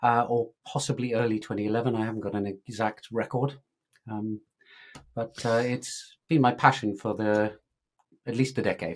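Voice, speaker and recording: Speaking at a moderate pace with an English accent, the voice keeps a fairly even intonation and takes long, frequent pauses, on a very clean recording with a silent background. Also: man, medium pitch for a man. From England. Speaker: tech startup founder. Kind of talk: interview podcast conversation.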